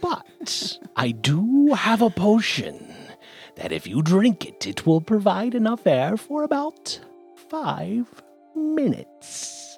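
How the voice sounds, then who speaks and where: In a put-on character voice with a fairly high pitch, the speaker goes at a very slow pace while faint music plays in the background. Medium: actual play. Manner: haughty, salesy.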